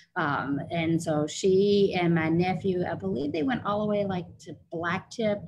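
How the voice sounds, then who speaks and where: This woman's fairly even intonation and somewhat breathy voice move along at a moderate pace. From Louisville, Kentucky. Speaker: martial arts master instructor and nurse practitioner. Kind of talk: interview.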